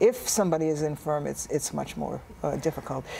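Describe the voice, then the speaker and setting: A woman with a fairly low pitch and ordinary pitch variation talks at a fairly quick pace over noticeable background noise. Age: 70s. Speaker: artist. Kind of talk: tv interview.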